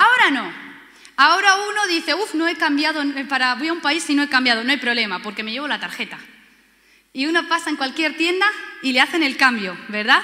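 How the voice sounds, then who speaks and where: With a Spanish accent, a woman talks at a fairly quick pace in a high, bright, sharp voice, raised and projected, her tone animated and her intonation lively. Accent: Spanish from Spain. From Spain. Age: 30s. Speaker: pastor. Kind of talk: sermon.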